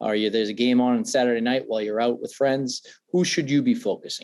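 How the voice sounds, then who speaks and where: In a Boston accent, a man talks at a fairly quick pace with a medium pitch and a dark, mellow tone. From Massachusetts, near Foxborough. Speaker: NFL draft analyst. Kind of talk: podcast interview. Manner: many fillers and repetitions.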